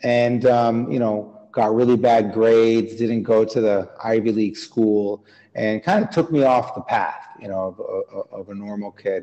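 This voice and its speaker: A man talks with a Chicago accent. His tone is dark and mellow. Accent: General American, Chicago. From US Midwest, Chicago suburbs. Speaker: business founder. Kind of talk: podcast interview.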